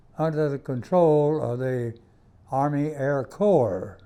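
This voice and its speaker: A man with an American accent has a fairly high-pitched, dark, mellow tone. He speaks at a very slow pace over a quiet background. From US South, South Carolina (Greenwood). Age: 90s. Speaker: war veteran. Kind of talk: interview testimony.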